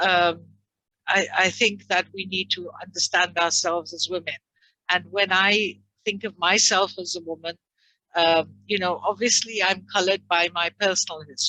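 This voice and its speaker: Speaking in an English accent at a moderate pace, a woman with a fairly low pitch and a bright, sharp tone keeps a monotone, flat intonation in a dry, close sound with no echo. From England. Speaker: training consultant. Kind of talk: interview. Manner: hesitant, many fillers.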